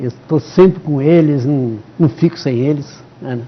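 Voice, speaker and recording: A man's fairly high voice at a very slow pace. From São Paulo state, Brazil. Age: 70s. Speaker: retired father of a police chief. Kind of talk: TV interview. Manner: halting, with many repetitions.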